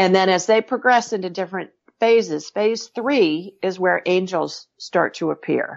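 A woman speaks in a normal speaking voice at a fairly slow pace, with a medium pitch and ordinary variation. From Ohio. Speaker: medical intuitive and author. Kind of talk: interview. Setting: remote call.

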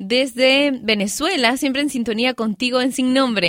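A woman's voice sits high in pitch. The sound is dry and close, with no echo. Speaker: radio host. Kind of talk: casual radio show talk. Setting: studio. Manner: lively.

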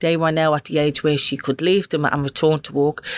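A woman's very deep, low voice with a Dublin accent at a moderate pace. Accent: Dublin Irish. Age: 50s. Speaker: community project coordinator. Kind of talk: casual chat.

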